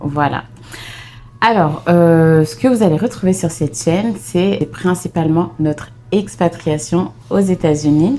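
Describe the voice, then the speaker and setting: Very slowly and at a very even loudness, a woman talks in a fairly low voice with lively intonation. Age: 30s. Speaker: vlogger, mother. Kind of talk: casual chat.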